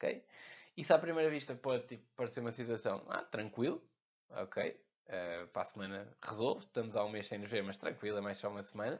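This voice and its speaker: This man talks at a very fast pace in a European Portuguese accent, with a medium pitch and ordinary pitch variation. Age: 20s. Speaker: podcast host, entrepreneur. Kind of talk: casual monologue. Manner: informal, filler-heavy.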